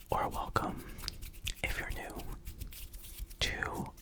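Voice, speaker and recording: A whisper, fairly slow in pace, comes through noticeable background noise. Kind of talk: ASMR whispering and rambling. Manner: whispered.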